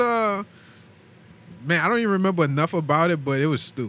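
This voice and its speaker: Very fast and bright, sharp in tone, a man talks at a fairly high pitch with very wide pitch swings. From Terrytown. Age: 20s. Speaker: military veteran. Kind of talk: casual chat.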